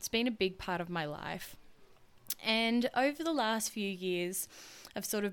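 A woman talks at a moderate pace with an Australian accent. The recording is very clean, with a silent background. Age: 20s. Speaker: podcast host, cabinet maker. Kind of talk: solo podcast monologue. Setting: home recording on laptop.

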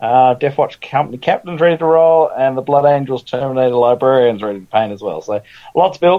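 At a fairly quick pace, a man with an Australian accent speaks with ordinary pitch variation and big swings in loudness. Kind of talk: casual chat.

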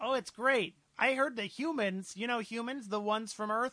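Against a quiet background, a put-on character voice with a fairly high pitch moves at a moderate pace. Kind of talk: comic improv. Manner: goofy, babbling nonsense words.

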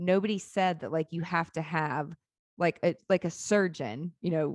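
The recording is dry and close, with no echo. A woman with a fairly low pitch speaks at a fairly slow pace with ordinary pitch variation. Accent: American. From Nashville, US South. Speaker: podcast host. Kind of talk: interview. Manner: animated.

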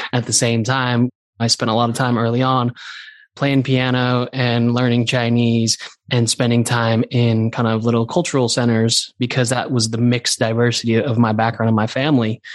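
A man's monotone, flat delivery at medium pitch and a moderate pace, very even in loudness, against a quiet background. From Santa Monica, California, in a New Zealand immigrant household. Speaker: wellness community founder. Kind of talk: interview, personal story. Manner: casual, filler-heavy.

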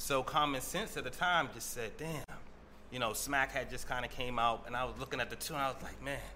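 Using a medium-pitched, bright, sharp voice with vocal fry, a man talks at a fairly quick pace with ordinary pitch variation. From Boston, Roxbury. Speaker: entrepreneur, cannabis advocate. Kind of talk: casual interview.

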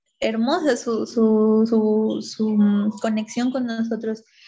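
Over a quiet background, the somewhat breathy voice has a dark, mellow tone and monotone, flat intonation. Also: woman. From Oaxaca, Mexico. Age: 30s. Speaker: mother sharing birth story. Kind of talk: interview, personal testimony. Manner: halting, many repetitions and fillers.

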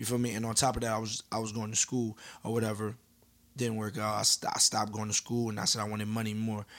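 Very fast speech comes from a man with an American accent. His pitch is medium. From South Carolina (Orangeburg County). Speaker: rapper. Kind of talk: casual interview chat.

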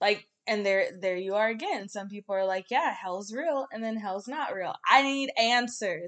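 This woman has a plain, everyday voice. It sits fairly high, with ordinary pitch variation. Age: 30s. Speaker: podcast co-host. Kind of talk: casual chat.

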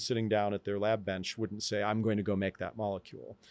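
A man's medium-pitched voice with an American accent, dry and close with no echo, on a very clean recording with a silent background. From US Southwest. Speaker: scientist and venture capital founder. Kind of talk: casual interview. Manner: thoughtful, hesitant with fillers.

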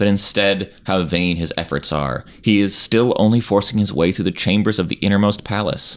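A man speaks in a plain, everyday voice with fairly low pitch, a moderate pace, ordinary pitch variation and hardly any pauses. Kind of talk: dramatic narration, reading a Kafka parable aloud. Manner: measured, storyteller's cadence, building tension.

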